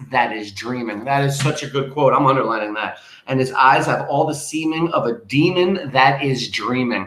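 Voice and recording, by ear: A text is read aloud in a natural voice. The pitch shifts by an ordinary amount.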